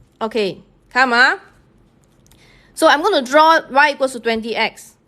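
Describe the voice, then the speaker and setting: Over a quiet background, a woman with a Singaporean accent projects a raised voice at a moderate pace, her tone bright and sharp and her intonation lively. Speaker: math teacher. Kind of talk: live-streamed tutorial. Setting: online live stream.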